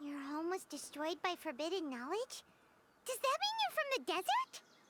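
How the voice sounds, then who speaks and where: It is a put-on character voice. The pitch is extremely high. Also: moderate pace. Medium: video game.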